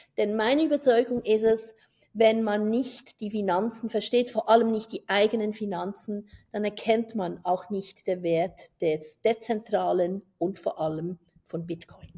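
A woman with a fairly high pitch and a dark, mellow tone speaks at a fairly slow pace with ordinary pitch variation. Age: 50s. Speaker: podcast host, former banker. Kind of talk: casual podcast intro.

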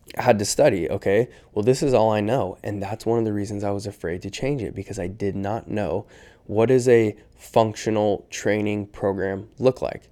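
The speaker keeps a moderate pace and fairly even intonation on a very clean recording with a silent background. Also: man, fairly low pitch for a man. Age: 20s. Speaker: motivational speaker and stunt bike rider. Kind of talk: casual chat. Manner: gentle, soft-spoken.

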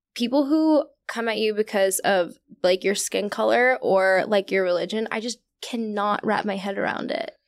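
A plain, everyday voice with an American accent, moderate pace and ordinary pitch variation. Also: woman, fairly high pitch for a woman. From Virginia. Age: 20s. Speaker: podcast host. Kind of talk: casual interview chat. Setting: studio.

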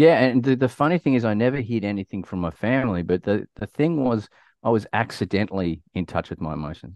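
An Australian accent marks this man's speech, delivered at a very fast pace. His pitch is medium and his intonation lively. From Australia (rural Victoria). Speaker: community leadership advocate and former soldier. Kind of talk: casual interview, personal story. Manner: animated.

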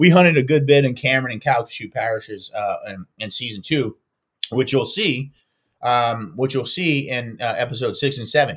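With big swings in loudness, a man at medium pitch speaks at a moderate pace, somewhat breathy and with ordinary pitch variation. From Louisiana. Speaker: chef. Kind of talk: casual chat.

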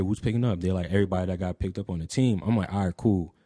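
Speaking very fast, a man with an American accent. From New Jersey (Franklin, Somerset County). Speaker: streetwear designer and podcaster. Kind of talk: casual chat.

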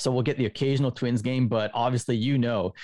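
A man speaks with a Canadian accent. His pitch sits in the medium range. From Canada, Winnipeg. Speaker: baseball writer. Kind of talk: casual chat.

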